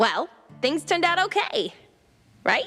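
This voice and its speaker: An extremely high-pitched, put-on character voice at a moderate pace, over faint background music. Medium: video game. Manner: chatty, slangy.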